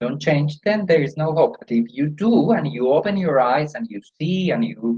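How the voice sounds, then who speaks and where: This man speaks with a Spanish accent at a fairly slow pace. His voice is somewhat breathy and fairly high in pitch. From Colombia. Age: 60s. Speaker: yoga teacher. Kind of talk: interview conversation.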